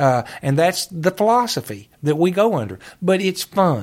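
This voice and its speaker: Over a very clean recording with a silent background, a man talks at a fairly slow pace in a high pitch, his voice making very wide pitch swings. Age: 50s. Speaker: retired judge and park superintendent. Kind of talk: casual interview.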